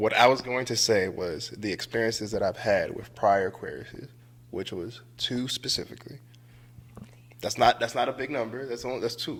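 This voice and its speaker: A man with an American accent has an ordinary speaking voice. He talks at a moderate pace in a medium pitch with ordinary pitch variation. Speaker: returning podcast guest. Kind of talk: casual chat.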